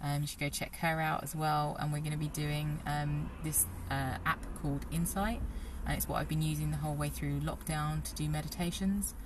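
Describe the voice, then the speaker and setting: A woman with a British accent speaks at a moderate pace over noticeable background noise. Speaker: personal trainer. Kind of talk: casual interview. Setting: outdoors.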